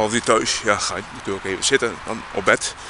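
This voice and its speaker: A man talks over noticeable background noise. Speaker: vlogger. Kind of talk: casual vlog monologue. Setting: outdoors. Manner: halting, rambling.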